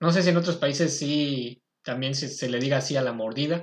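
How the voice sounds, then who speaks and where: Against a quiet background, a man with a fairly high, somewhat breathy voice talks at a moderate pace with ordinary pitch variation. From Mexico, State of Mexico. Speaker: podcast host. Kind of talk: casual chat.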